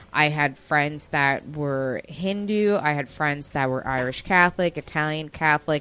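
With an American accent, a woman speaks in a very deep, low pitch, using ordinary pitch variation and a bright, sharp tone. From New York, Westchester. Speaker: podcast host. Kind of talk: casual chat.

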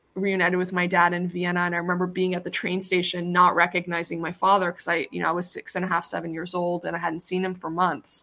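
Her voice is fairly low, with a bright, sharp tone and an American accent. The woman speaks in a monotone, flat way with hardly any pauses. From Iran, raised in US from age six. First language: Persian. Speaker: plastic surgeon. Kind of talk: casual chat. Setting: video call.

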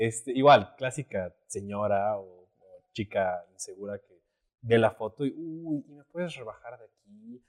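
Heard dry and close with no echo, a man with a plain, everyday voice at medium pitch talks fairly slowly, his intonation lively and his loudness swinging widely. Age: 20s. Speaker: photographer and actor. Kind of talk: casual chat.

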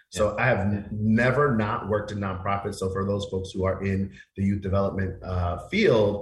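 A man speaks at a fairly low pitch, somewhat breathy. His pace is moderate. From Queens, New York City. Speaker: nonprofit executive director, guest. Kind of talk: teacher voice, well rehearsed. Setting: radio talk show interview.

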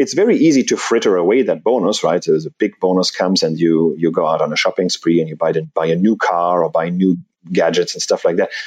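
A man with a German accent. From Germany. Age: 40s. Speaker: personal finance blogger, early retiree. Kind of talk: interview. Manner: halting.

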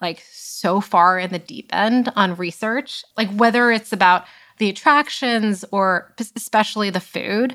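A woman speaks at a fairly slow pace in a plain, everyday voice. Her pitch is medium, with ordinary pitch variation. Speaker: startup founder. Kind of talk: casual interview chat.

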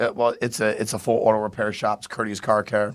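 Fairly low in pitch, a man talks at a moderate pace in a normal speaking voice. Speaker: comedian. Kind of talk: casual chat.

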